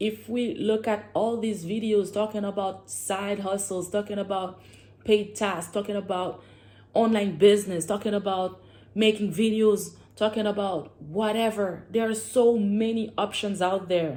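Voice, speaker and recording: A woman with a French accent speaks at a medium pitch and fairly slow pace, her tone dark and mellow and her intonation fairly even. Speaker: vlogger. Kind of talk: casual vlog monologue. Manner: halting at times, searching for words.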